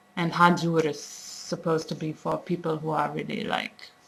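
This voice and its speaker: A woman speaks with a German accent. Her pace is fairly slow. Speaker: language teacher. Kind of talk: tutorial. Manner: halting, many fillers.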